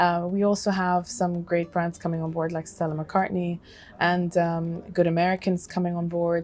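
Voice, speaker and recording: A woman speaks with an Arabic accent. Her pitch is fairly low and her intonation monotone and flat. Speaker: fashion designer. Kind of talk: interview. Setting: conference.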